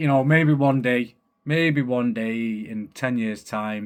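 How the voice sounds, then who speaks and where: On a very clean recording with a silent background, a man with a strong Manchester accent speaks in an animated tone. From Manchester, northern England. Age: 30s. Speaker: podcast host. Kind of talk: casual monologue.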